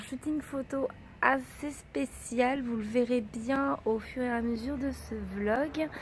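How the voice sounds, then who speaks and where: Amid noticeable background noise, a woman with a high voice speaks very slowly, her pitch varying in an ordinary way. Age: 20s. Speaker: vlogger. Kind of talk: casual talk to camera.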